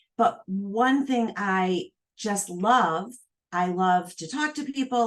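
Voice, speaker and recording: With a plain, everyday voice, a woman speaks in a fairly high pitch and lively intonation. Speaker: entrepreneur and asset manager. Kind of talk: casual chat.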